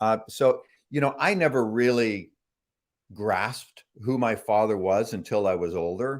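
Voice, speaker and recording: A man with a Canadian accent speaks with lively intonation. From Canada, Toronto. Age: 60s. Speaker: author. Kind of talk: interview. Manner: halting.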